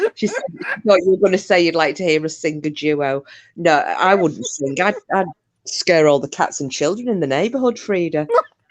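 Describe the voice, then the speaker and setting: Speaking with a northern English accent, a woman has a fairly low pitch. Her pace is moderate and her intonation lively. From northern England. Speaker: podcast host. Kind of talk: casual chat. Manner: animated.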